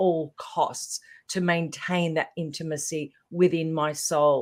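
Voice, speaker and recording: Speaking with an Australian accent, a woman uses a fairly low pitch. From Australia, Melbourne. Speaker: transformational leader. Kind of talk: podcast interview.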